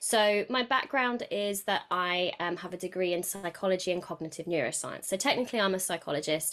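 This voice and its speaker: Speaking with a British accent, a woman moves at a fairly quick pace with hardly any pauses and ordinary pitch variation. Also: medium pitch for a woman. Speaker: podcast guest and coach. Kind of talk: casual interview chat.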